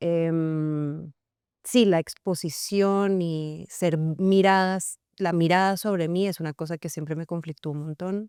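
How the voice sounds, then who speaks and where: A woman's fairly low, dark, mellow voice with fairly even intonation at a very slow pace, in a very clean recording with a silent background. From Colombia, Cartagena (Caribbean coast), partly raised in Venezuela. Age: 30s. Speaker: actress and screenwriter. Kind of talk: interview. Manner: hesitant, many fillers.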